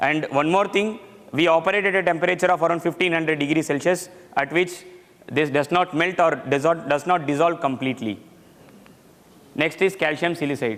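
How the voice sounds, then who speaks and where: Loud and high-pitched, a man speaks at a fairly quick pace but leaves long, frequent pauses. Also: ordinary pitch variation. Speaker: metallurgy engineer presenting technical paper. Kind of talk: technical presentation.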